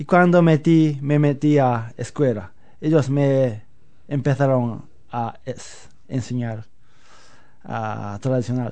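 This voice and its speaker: A man talks at a very slow pace, in a dark, mellow tone at medium pitch, with ordinary pitch variation. He leaves long, frequent pauses. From Japan, Osaka. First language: Japanese (speaking Spanish). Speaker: flamenco guitarist. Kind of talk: interview. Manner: halting.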